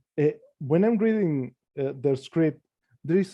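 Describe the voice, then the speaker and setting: Dark, mellow tone from a man with a non-native accent, fairly high in pitch and lively in intonation. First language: not English. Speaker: comic book artist. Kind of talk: casual chat. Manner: halting, many repetitions.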